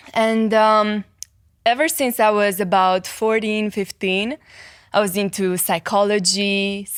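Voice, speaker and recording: A woman with a slight Romanian accent speaks at a fairly slow pace and medium pitch, her intonation fairly even. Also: very clean recording, silent background. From Romania, Cluj. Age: 20s. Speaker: psychology content creator and life coach. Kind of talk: podcast interview.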